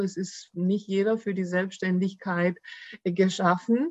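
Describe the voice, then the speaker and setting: A plain, everyday voice. It moves at a moderate pace. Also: woman. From Germany, Baden-Württemberg (Swabia). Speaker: employment lawyer. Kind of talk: podcast interview.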